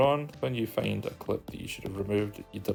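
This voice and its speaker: Here a man speaks with a Scottish accent. Music plays in the background. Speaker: video editing tutorial creator. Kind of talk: screen-recorded software tutorial. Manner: casual, conversational.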